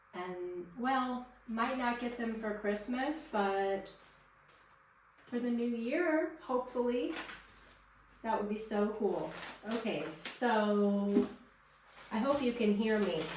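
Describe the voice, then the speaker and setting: With long, frequent pauses, a woman speaks very slowly at a fairly high pitch and ordinary pitch variation, amid audible room echo and noticeable background noise. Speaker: gardening vlogger. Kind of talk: tutorial. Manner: loud; casual. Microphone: poor microphone.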